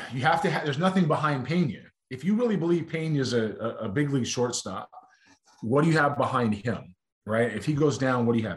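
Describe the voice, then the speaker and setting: Somewhat breathy, a man talks very fast with lively intonation. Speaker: baseball analyst. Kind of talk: sports analysis interview.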